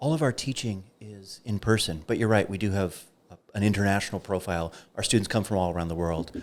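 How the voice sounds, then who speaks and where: A man with an American accent, fairly low in pitch, very fast, with ordinary pitch variation and a very clean recording against a silent background. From United States. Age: 40s. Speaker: philosophy professor. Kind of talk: podcast interview. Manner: passionate.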